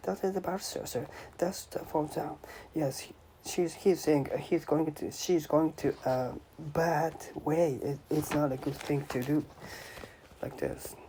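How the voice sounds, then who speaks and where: Over noticeable background noise, a man with a fairly high pitch talks at a fairly slow pace, with fairly even intonation and long, frequent pauses. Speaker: language learner. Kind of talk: reading aloud with commentary. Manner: halting.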